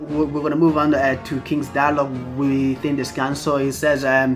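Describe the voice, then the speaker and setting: Background music plays while the speaker talks at a moderate pace. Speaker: anime manga reviewer. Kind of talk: casual talk to camera. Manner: stuttering, many fillers.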